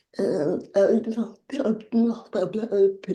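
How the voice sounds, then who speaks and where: This woman's voice has a dark, mellow tone and is somewhat breathy. She talks at a very slow pace. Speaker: interview channel host. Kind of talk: interview.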